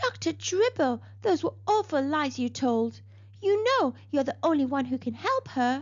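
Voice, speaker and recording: The speaker uses a put-on character voice. The delivery is soft-spoken. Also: woman, moderate pace. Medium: read story. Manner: hesitant, murmuring.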